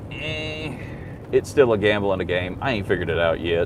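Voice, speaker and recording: Through noticeable background noise, a man's speech moves at a fairly quick pace. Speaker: YouTube livestreamer. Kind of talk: casual live stream chat. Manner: loud.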